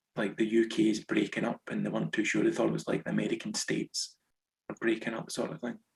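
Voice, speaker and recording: Talking at a very fast pace, a man with a west central Scottish accent comes through dry and close with no echo. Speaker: author, former teacher in Japan. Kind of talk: interview.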